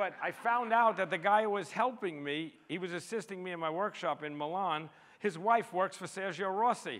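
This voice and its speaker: A man's high-pitched voice in a New York accent, with ordinary pitch variation and hardly any pauses. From US, New York City. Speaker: street photographer. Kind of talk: public talk presenting photographs. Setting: stage with audience. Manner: fast; animated.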